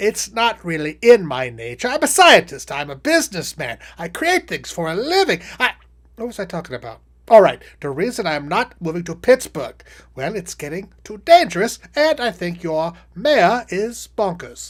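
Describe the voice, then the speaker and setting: A put-on character voice at a middle pitch swings very widely up and down. The pace is moderate. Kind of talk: comedic political satire monologue.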